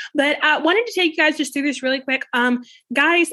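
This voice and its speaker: Her voice is raised and projected, with a bright, sharp tone. The woman keeps a moderate pace and lively intonation. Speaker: podcast host. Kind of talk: casual commentary. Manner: hesitant, filler-heavy.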